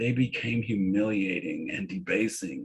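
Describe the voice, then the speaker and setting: A man with an American accent speaks at a fairly slow pace. His somewhat breathy voice shows ordinary pitch variation. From San Francisco, US West Coast. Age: 60s. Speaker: peer support presenter. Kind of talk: webinar presentation.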